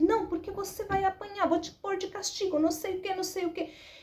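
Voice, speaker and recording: A woman shouts in a squeaky, put-on character voice at an extremely high pitch. She goes at a fairly quick pace with monotone, flat intonation. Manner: rude, shouting, scolding.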